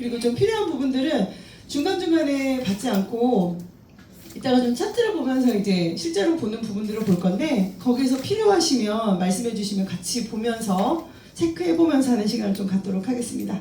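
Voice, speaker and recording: Over noticeable background noise and audible room echo, a woman speaks fairly quickly at a fairly high pitch with very wide pitch swings. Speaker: crypto trading instructor. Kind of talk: lecture.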